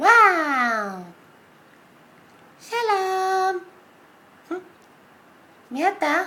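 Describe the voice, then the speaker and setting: An extremely high pitch defines this put-on character voice. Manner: hesitant, confused.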